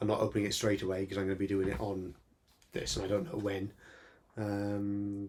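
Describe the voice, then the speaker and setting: A man talks at a fairly quick pace with a Welsh accent. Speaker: retro gaming youtuber. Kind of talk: casual video monologue. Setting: small home room. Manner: fast; hesitant, repeats words.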